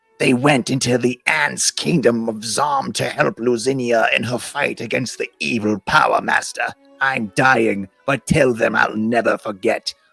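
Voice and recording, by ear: A man speaks in a put-on character voice at a moderate pace. His pitch sits in the middle range.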